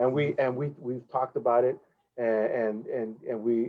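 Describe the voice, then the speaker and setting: A man at a medium pitch speaks with an American accent, at a moderate pace and with fairly even intonation. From Los Angeles (South Central), US. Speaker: professional trumpet player and clinician. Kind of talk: interview, teaching explanation. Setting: video call webinar.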